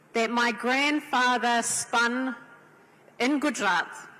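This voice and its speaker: With a strong New Zealand accent, a woman speaks very slowly in a high voice with ordinary pitch variation over noticeable background noise. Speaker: panelist, women's organisation leader. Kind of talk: panel talk at a convention.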